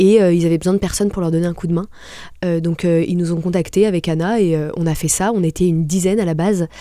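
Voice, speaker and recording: A woman speaks at a very fast pace with a fairly low pitch. Her intonation is monotone and flat. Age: 20s. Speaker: restaurant entrepreneur. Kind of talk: interview. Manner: hesitant, many fillers.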